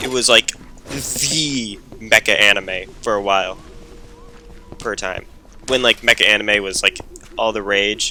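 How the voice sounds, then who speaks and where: Speaking at a fairly slow pace with long, frequent pauses, a man keeps a fairly even intonation over noticeable background noise. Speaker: gaming YouTuber. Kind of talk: gameplay commentary. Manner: loud; casual, rambling with fillers.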